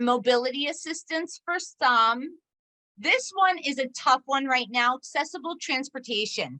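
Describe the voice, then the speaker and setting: A woman with a high pitch and a bright, sharp tone projects her voice. She talks at a fairly slow pace with ordinary pitch variation. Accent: American. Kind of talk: presentation to parent support group.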